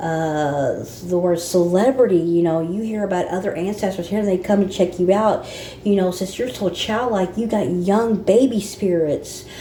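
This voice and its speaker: A woman speaks at a moderate pace with hardly any pauses, her pitch medium and its variation ordinary. Room echo is audible, and background noise is noticeable. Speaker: spiritual channel host. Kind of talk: casual spiritual monologue. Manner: halting.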